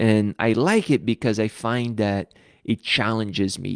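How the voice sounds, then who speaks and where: A man with a Brazilian accent at medium pitch, very cleanly recorded on a silent background, dry and close with no echo. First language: Portuguese. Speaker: pastor. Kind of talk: live stream Bible study talk. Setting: live stream.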